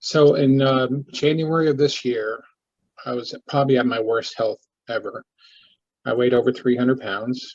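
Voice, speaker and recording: At a moderate pace with long, frequent pauses, a man speaks at a medium pitch with fairly even intonation. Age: 60s. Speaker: support group member sharing health story. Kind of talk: testimony. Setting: video call. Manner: halting, many false starts.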